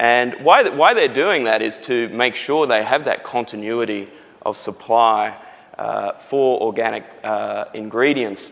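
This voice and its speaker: A man speaks with an Australian accent. His pitch variation is ordinary. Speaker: company CEO. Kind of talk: live interview. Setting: conference stage with audience.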